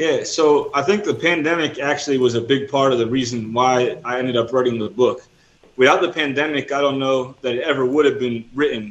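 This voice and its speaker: A man speaks at a fairly quick pace with an American accent and a fairly high pitch. It is an ordinary speaking voice with ordinary pitch variation. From New Jersey, US. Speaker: missionary and author. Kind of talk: interview.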